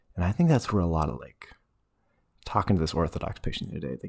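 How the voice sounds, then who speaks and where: In a very clean recording with a silent background, a man mumbles in a very deep, low voice. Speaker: religious teacher. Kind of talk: casual teaching talk. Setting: at home. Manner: mumbling. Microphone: speaking very close to the mic.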